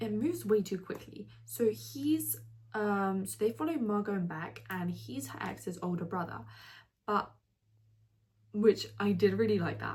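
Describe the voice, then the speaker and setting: Speaking at a fairly slow pace with long, frequent pauses, a woman uses a somewhat breathy, medium-pitched voice with an animated tone, very wide pitch swings and big swings in loudness. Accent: non-native. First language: not English. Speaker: book reviewer. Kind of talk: casual vlog review. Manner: fillers and self-corrections.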